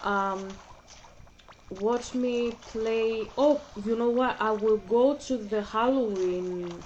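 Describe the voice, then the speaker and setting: At a very slow pace with long, frequent pauses, a woman speaks in a fairly high pitch with ordinary pitch variation over noticeable background noise. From Greece (Athens). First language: Greek. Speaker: gaming vlogger. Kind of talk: casual chat. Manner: halting.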